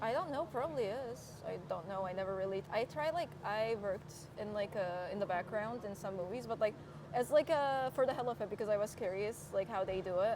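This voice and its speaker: Noticeable background noise sits behind a woman who speaks fairly quickly, with lively intonation and a fairly high pitch. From Turkey, Istanbul. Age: 20s. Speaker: receptionist. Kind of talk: interview.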